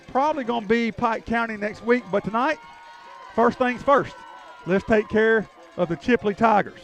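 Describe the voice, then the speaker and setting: Music plays in the background as a man with a high voice speaks with ordinary pitch variation and long, frequent pauses. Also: moderate pace. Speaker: play-by-play announcer. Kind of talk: live commentary.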